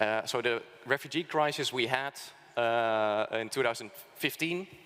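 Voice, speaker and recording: Speaking at a medium pitch, a man talks with a Dutch accent. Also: ordinary pitch variation, moderate pace. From Netherlands. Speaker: think tank speaker. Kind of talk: conference presentation. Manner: halting, many fillers.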